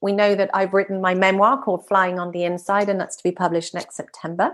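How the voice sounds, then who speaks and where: The background is quiet. A woman speaks at a fairly quick pace. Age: 50s. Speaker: hypnotherapist and life coach. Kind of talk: interview. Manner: animated.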